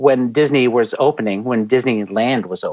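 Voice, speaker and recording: A man at a moderate pace with a slight Canadian accent, medium pitch and ordinary pitch variation. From Canada. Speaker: museum creative director. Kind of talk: interview conversation. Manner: animated.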